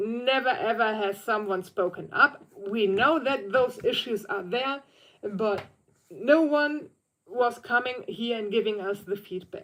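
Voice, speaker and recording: Speaking with a German accent, a woman has a fairly high pitch. She talks at a fairly slow pace with lively intonation. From Germany. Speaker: vlogger on theme park accessibility. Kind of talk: casual livestream chat. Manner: halting, with self-corrections.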